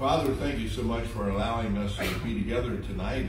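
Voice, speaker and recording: Audible room echo and noticeable background noise fill the clip. A man speaks through them at a moderate pace. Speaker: pastor. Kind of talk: sermon. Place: church. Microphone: camera far.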